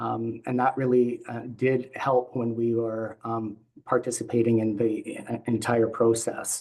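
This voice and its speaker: In a Canadian accent, a man speaks at a medium pitch and a fairly slow pace, monotone and flat, with hardly any pauses. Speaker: patient representative. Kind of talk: panel presentation. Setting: video call. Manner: halting, many fillers and pauses.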